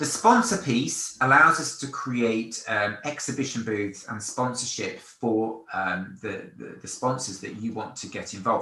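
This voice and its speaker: This man speaks with a London accent at a moderate pace, his pitch medium and its variation ordinary. His loudness swings widely, and room echo is audible. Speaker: event company presenter. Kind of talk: product demonstration. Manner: casual, with fillers and repetitions.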